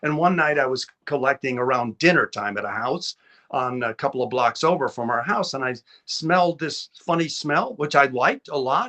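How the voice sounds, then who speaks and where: A man with an American accent, fairly high in pitch, with ordinary pitch variation and a moderate pace. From Chicago. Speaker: TV producer. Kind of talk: interview conversation.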